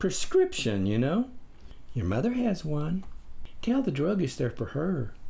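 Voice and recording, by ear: In a put-on character voice, a soft-spoken man uses a dark, mellow tone with vocal fry, very wide pitch swings and a fairly slow pace. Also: fairly high pitch for a man.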